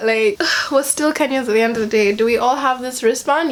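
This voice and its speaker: A woman speaks at a high pitch with ordinary pitch variation. There is noticeable background noise. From Kenya. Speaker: vlogger. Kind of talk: casual vlog commentary. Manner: animated.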